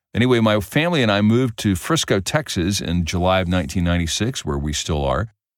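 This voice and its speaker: Very deep, low male voice, very fast with hardly any pauses and lively intonation, in a very clean recording with a silent background. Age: 60s. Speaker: musician and guitar teacher. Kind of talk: solo podcast talk.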